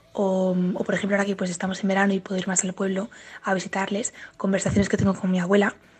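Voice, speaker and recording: Music plays in the background. A woman speaks at a fairly quick pace with a medium pitch. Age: 20s. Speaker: university student. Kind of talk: testimony.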